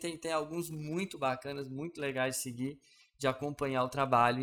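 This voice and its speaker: The recording is very clean, and the background is silent. A man talks throughout. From Brazil, Belo Horizonte. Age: 30s. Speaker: podcast host. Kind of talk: casual monologue. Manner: hesitant with fillers.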